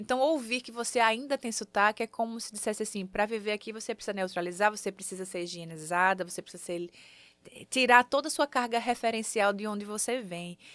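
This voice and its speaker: A woman with a northeastern Brazilian accent, fairly high pitch, ordinary pitch variation, a fairly quick pace, and big swings in loudness, in a dry, close sound with no echo on a very clean recording with a silent background. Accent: Northeastern Brazilian accent, kept. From Sergipe, Brazilian Northeast. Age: 30s. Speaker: singer, actress and multi-artist. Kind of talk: interview.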